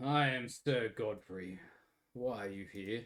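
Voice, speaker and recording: A man puts on a gravelly character voice at a medium pitch. He speaks at a fairly slow pace with ordinary pitch variation. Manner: authoritative, questioning.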